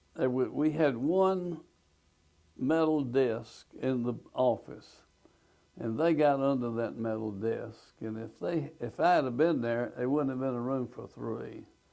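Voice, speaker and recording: A man with an Alabama accent talks at a fairly slow pace in a dark, mellow tone, at a medium pitch with ordinary pitch variation. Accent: Southern US (Alabama). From US South, Alabama. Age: 80s+. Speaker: retired businessman, tornado witness. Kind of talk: oral history testimony.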